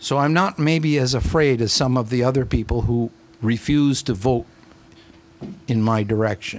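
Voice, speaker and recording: At a moderate pace and a very even loudness, a man with a medium pitch and ordinary pitch variation speaks with long, frequent pauses. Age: 60s. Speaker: county council member. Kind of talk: heated debate. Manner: animated.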